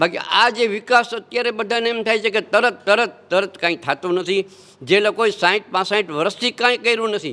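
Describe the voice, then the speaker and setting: A man's raised, projected voice, high-pitched for a man, with a bright, sharp tone. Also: ordinary pitch variation. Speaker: local citizen, interviewee. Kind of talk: street interview.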